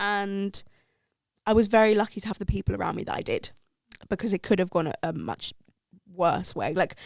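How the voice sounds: A woman speaks at a medium pitch and a fairly quick pace with big pitch swings. Her tone is slightly mellow, with vocal fry.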